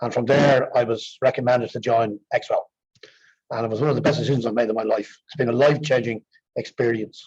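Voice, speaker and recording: Talking very fast, a man with an Irish accent has a medium pitch and fairly even intonation. His voice is somewhat breathy. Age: 60s. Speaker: exercise programme participant. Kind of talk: testimony.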